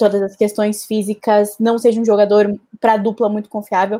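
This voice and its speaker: A woman with a medium pitch and a dark, mellow tone speaks at a moderate pace. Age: 20s. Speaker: basketball columnist. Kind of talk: casual chat.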